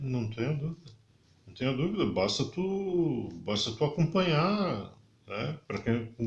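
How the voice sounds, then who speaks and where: In a somewhat breathy, fairly high voice, a man speaks at a fairly slow pace with very wide pitch swings. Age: 60s. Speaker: podcast guest. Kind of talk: casual interview chat.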